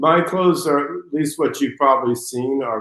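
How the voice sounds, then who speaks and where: An ordinary speaking voice from a man with an American accent, medium pitch and ordinary pitch variation. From United States. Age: 60s. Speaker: fashion designer. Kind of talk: interview.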